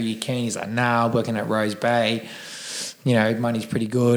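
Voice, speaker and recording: A man with an Australian accent talks very fast at a medium pitch, his intonation monotone and flat. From Sydney, Australia (Cronulla). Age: 30s. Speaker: gym owner, recovering addict. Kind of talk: casual interview.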